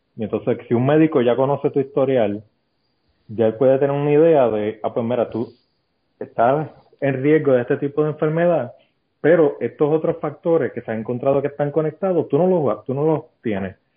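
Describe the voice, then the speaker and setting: A man with a fairly high pitch and an unremarkable speaking voice talks at a fairly quick pace with ordinary pitch variation. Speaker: podcast guest. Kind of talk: casual chat.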